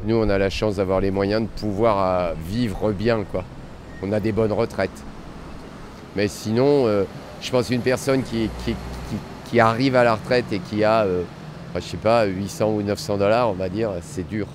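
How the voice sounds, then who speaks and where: Moderate pace broken by long, frequent pauses, with ordinary pitch variation over noticeable background noise. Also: man, fairly low pitch for a man. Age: 60s. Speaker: vox pop interviewee. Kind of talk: street interview. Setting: on camera.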